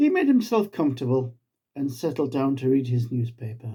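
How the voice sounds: A man's voice sits at a medium pitch, with a dark, mellow tone and a slightly husky edge. His pitch swings in big arcs.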